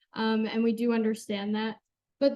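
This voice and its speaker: A woman with a western New York accent speaks fairly slowly at a fairly high pitch. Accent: Inland North American (western New York). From Jamestown, western New York. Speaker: college forestry intern. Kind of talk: Q&A after presentation. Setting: club meeting, also streamed on Zoom.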